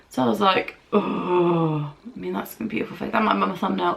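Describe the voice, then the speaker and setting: The speaker has an English accent and a moderate pace. Noticeable background noise runs underneath. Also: woman. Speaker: beauty vlogger. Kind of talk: casual chat.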